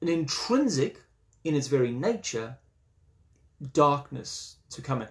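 Somewhat breathy and fairly high in pitch, a man talks at a fairly slow pace. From South Africa. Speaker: Anglican priest leading a study group. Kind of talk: lecture. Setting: online video session. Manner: halting, with frequent fillers.

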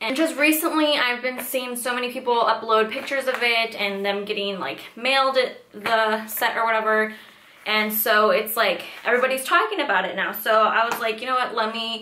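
Amid light background noise and audible room echo, a woman speaks at a fairly quick pace with ordinary pitch variation. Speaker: beauty vlogger. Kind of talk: casual product review chat. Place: home room.

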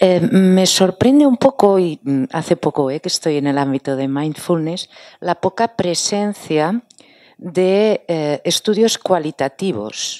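Over a quiet background, a woman with a fairly low pitch and a dark, mellow tone speaks at a very slow pace with lively intonation, the sound dry with no echo. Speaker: university lecturer asking question. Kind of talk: audience question. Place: hall.

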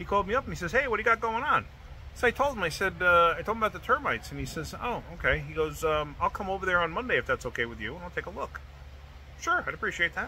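Very fast speech comes from a man over light background noise. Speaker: home car repair vlogger. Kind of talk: casual vlog chat. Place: street. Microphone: phone near.

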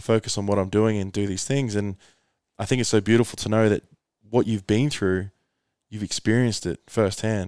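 A man's fairly low, dark, mellow voice with monotone, flat intonation at a fairly quick pace, in a dry sound with no echo over a quiet background. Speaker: podcast host and coach. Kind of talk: casual podcast conversation. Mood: earnest, animated. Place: home room. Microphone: headset.

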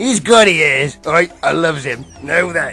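Clear music plays in the background. Over it, a man speaks at a fairly high pitch. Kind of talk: comic character acting. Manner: enthusiastic, rambling, muddled.

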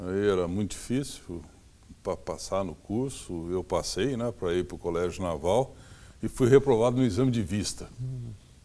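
A dark, mellow tone comes with ordinary pitch variation and long, frequent pauses. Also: man, fairly low pitch for a man, moderate pace. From Brazil, São Paulo state interior (Franca); São Paulo state, Brazil. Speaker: forestry engineering professor. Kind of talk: interview. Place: home room. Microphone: lapel.

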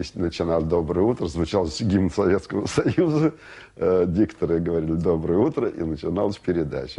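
Speaking at a moderate pace, a man with a very deep, low pitch and a dark, mellow tone shows ordinary pitch variation. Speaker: television worker recalling Soviet TV. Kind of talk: interview answer recalling old television.

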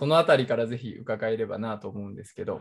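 A man speaks at a moderate pace with lively intonation. His voice is somewhat breathy, and the background is quiet. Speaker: politician and show host. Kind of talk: casual conversation. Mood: polite, friendly. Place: home room. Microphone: video call.

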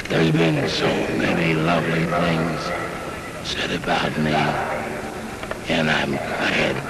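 Over loud background noise, a man speaks at a very slow pace with long, frequent pauses. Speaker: retired baseball player. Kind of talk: short public speech at stadium. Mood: emotional, grateful. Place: stadium. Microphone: podium.

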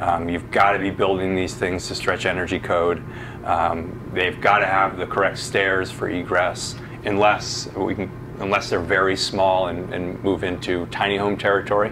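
Over noticeable background noise, a man with a very deep, low pitch speaks at a moderate pace in monotone, flat intonation. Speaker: presenter. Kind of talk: answer to an audience question, presentation. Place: meeting room.

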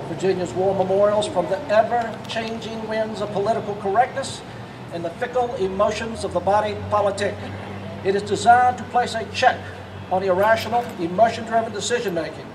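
Noticeable background noise sits under a man with a high pitch who talks at a fairly quick pace with fairly even intonation. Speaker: speaker. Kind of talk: prepared speech. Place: street.

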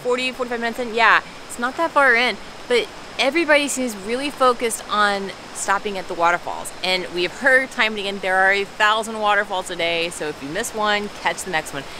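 A woman's voice at a fairly quick pace, dry with no echo, over noticeable background noise. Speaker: travel vlogger. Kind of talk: casual vlog chat. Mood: delighted, wistful. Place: forest. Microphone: phone near.

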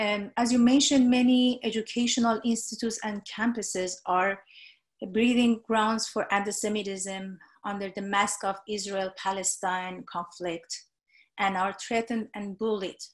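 A woman talks at a moderate pace with a medium pitch and fairly even intonation. Her voice is somewhat breathy, and the background is quiet. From Iran. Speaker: moderator. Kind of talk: moderated panel. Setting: webinar. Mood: calm, earnest. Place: home room. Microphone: video call.

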